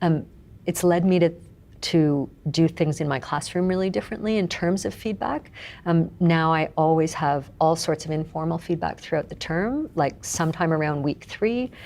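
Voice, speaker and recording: In a very clean recording with a silent background, a woman with a normal speaking voice and fairly low pitch talks at a moderate pace with ordinary pitch variation. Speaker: university professor. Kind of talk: interview conversation about teaching.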